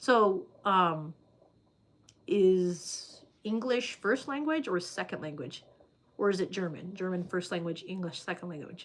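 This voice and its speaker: A woman at medium pitch talks at a fairly slow pace. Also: lively intonation. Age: 30s. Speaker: livestreamer reading viewer comments. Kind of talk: casual livestream chat. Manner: hesitant, many fillers.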